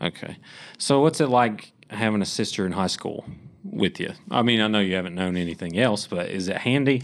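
In an Appalachian accent, a man talks at a moderate pace with a fairly low pitch and ordinary pitch variation, on a very clean recording with a silent background. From West Virginia (McDowell County), born in Kentucky. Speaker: student podcast interviewer. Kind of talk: group discussion.

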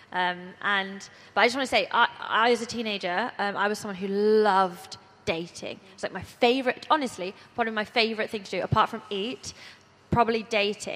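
A woman's fairly high-pitched voice, a plain, everyday voice, with fairly even intonation. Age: 20s. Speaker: church youth speaker. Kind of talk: panel talk to teenage girls.

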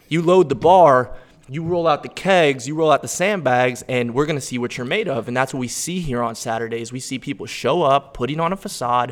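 Hardly pausing, a man speaks in an unremarkable speaking voice that is fairly high in pitch, with ordinary pitch variation. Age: 20s. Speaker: attorney and gym lifter. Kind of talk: casual conversation.

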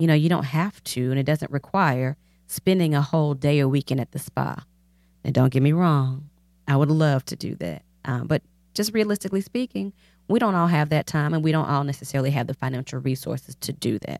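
A woman with a very deep, low pitch talks at a fairly quick pace with ordinary pitch variation, the sound dry and close with no echo. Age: 40s. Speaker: podcast host. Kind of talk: solo monologue. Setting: studio.

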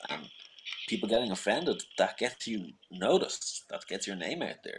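A man with an Irish accent talks at a moderate pace. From Ireland.

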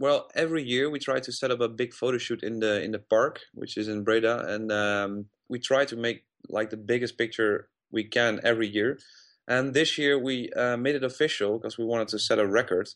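Against a quiet background, a man with a medium pitch talks at a fairly quick pace with fairly even intonation. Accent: Dutch. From Netherlands (Uden, North Brabant). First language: Dutch. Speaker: festival press coordinator. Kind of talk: interview. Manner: halting.

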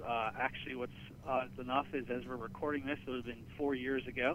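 Here is a man with a central Pennsylvania accent and a medium pitch. His intonation stays fairly even. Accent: central Pennsylvania American. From Pennsylvania, Gettysburg area. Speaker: marketing director. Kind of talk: interview.

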